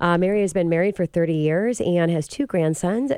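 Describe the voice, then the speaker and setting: A woman talks at a fairly quick pace. Her tone is dark and mellow, her pitch fairly low. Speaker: radio host, mortgage expert. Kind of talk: radio interview. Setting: radio studio.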